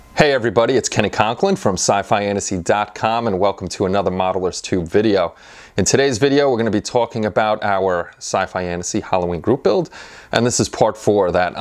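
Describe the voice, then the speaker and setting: A man speaks in a plain, everyday voice at a fairly low pitch with ordinary pitch variation. He talks at a fairly quick pace over a quiet background. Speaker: channel host. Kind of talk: casual vlog chat. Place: workshop. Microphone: lapel.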